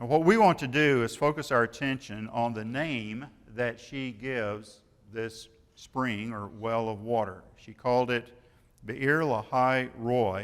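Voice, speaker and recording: Medium-pitched man with a Midwestern US accent, ordinary pitch variation, big swings in loudness and a fairly slow pace. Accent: rural Midwestern American. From Kansas. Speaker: retired preacher. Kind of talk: sermon.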